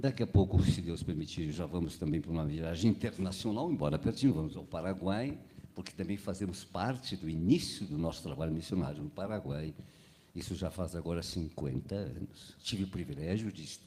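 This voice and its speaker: Fairly quick male speech, very deep and low, dark and mellow in tone, with ordinary pitch variation. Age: 80s+. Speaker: pastor. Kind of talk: sermon.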